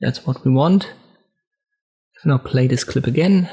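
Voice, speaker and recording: A man speaks in a somewhat breathy, fairly high voice. His pace is moderate and his pitch variation is ordinary. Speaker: video tutorial creator. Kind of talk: tutorial.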